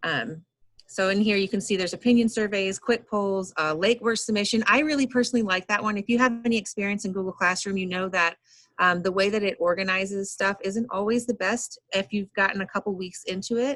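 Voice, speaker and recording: A woman of medium pitch talks at a fairly quick pace with ordinary pitch variation. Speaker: teacher leading professional development. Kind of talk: online training workshop. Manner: fast.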